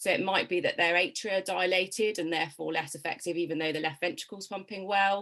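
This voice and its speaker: A woman's medium-pitched voice, bright and sharp in tone, very fast with hardly any pauses and ordinary pitch variation. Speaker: heart failure nurse. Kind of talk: explanatory presentation. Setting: live video stream.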